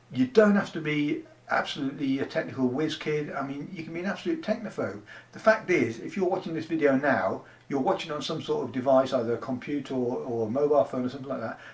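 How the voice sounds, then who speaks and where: Through noticeable background noise, a man speaks at a very fast pace and a fairly high pitch, with lively intonation and big swings in loudness. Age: 60s. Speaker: online business promoter, army veteran. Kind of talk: casual talking-head pitch to camera. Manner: conversational, with many fillers.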